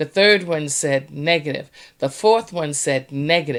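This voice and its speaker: In an animated tone, a woman with a fairly low pitch speaks at a moderate pace with ordinary pitch variation. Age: 60s. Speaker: podcast co-host. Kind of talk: casual chat.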